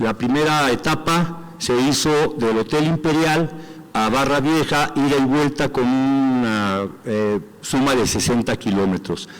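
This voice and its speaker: A man's fairly high voice, very slow in pace, with ordinary pitch variation. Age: 60s. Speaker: athlete and movement representative. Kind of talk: assembly report.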